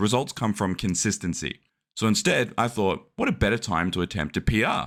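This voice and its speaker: Recorded very cleanly over a silent background, a man talks at a fairly quick pace with a fairly low pitch and lively intonation. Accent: Australian. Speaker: fitness vlogger. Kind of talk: vlog narration.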